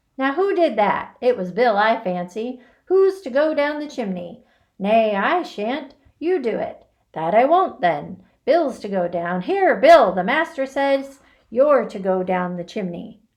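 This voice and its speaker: Against a quiet background, a woman uses a put-on character voice, high-pitched with very wide pitch swings, at a fairly slow pace. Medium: read story. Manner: rough, bickering.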